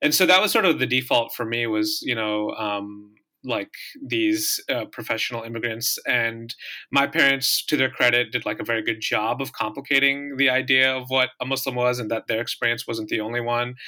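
With an American accent, a man talks at a moderate pace and medium pitch, his bright, sharp tone held in fairly even intonation. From US Midwest, southeast Michigan. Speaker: podcast host. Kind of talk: interview conversation.

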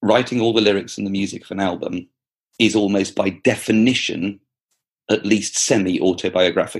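Talking at a fairly quick pace, a man uses fairly even intonation. His voice is fairly low in pitch, with an English accent. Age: 40s. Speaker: primary school teacher and author. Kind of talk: interview. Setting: remote call across time zones.

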